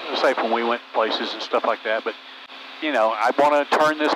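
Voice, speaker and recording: Against noticeable background noise, a man speaks with a fairly high pitch. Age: 70s. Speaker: retiring private pilot, host's father. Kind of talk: casual chat. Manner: halting.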